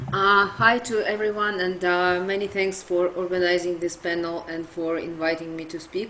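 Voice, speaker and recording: A woman speaks in a Russian accent at a moderate pace, her pitch fairly low. Her intonation stays fairly even, with hardly any pauses. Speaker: nonprofit director. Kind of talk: panel presentation. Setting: webinar video call. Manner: halting, many fillers.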